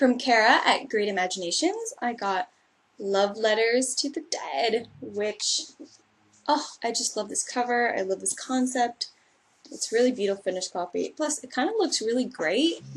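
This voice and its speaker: A woman with a Californian accent speaks at a moderate pace in a high pitch. Her tone is animated and her intonation lively. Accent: Californian American English. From Los Angeles, US West Coast. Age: 20s. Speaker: booktuber. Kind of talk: casual vlog monologue.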